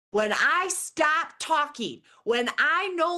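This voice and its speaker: A woman with an American accent and a high pitch speaks in a raised, projected voice, her tone bright, sharp and animated and her intonation lively. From Michigan, US Midwest. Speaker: leadership advisor and keynote speaker. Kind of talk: keynote speech.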